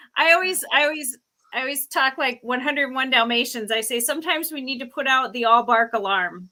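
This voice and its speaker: Projecting her voice in a bright, sharp tone, a woman speaks fairly quickly at a high pitch with ordinary pitch variation on a very clean recording with a silent background. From South Dakota. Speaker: podcast host. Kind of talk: casual chat. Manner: loud.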